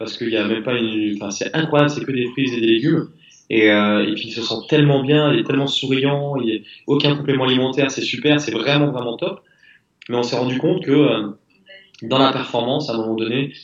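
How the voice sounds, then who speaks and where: Speaking in an unremarkable speaking voice, a man holds a medium pitch and keeps his intonation fairly even. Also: fairly quick pace. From southwest France. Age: 30s. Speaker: crossfit athlete, retired soldier. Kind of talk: interview.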